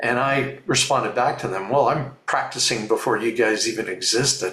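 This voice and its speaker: Audible room echo surrounds a man with a Canadian accent who speaks at a moderate pace with ordinary pitch variation. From Ontario, Canada. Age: 60s. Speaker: fluvial geomorphologist. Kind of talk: interview. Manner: repeats words, hesitant.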